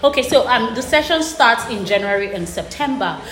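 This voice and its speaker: Noticeable background noise and audible room echo mark this recording. A woman talks at a fairly quick pace with ordinary pitch variation. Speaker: education consultancy founder. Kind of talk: interview.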